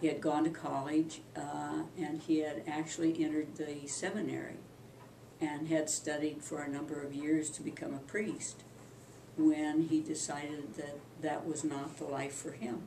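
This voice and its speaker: A woman with an American accent speaks in a very deep, low pitch, her intonation flat and monotone. Audible room echo and noticeable background noise fill the recording. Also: moderate pace. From Kansas, US Midwest. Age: 70s. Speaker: family elder recounting history. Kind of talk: oral history interview. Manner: halting, many fillers.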